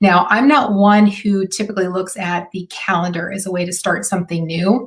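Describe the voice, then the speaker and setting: At a medium pitch and a fairly quick pace, a woman talks in a somewhat breathy voice whose pitch varies normally. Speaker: marketing consultant. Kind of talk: live stream talk. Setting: live video stream.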